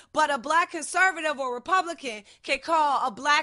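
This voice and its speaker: With an American accent, a woman uses a raised, projected voice and a bright, sharp, animated tone, speaking at a moderate pace with ordinary pitch variation against a quiet background. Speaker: podcast host. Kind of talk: heated casual discussion. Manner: loud.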